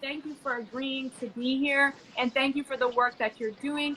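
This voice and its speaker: Over noticeable background noise, a woman with a high pitch speaks in a raised, projected voice. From Jamaica. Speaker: fashion influencer hosting a live panel. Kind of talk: live online panel discussion.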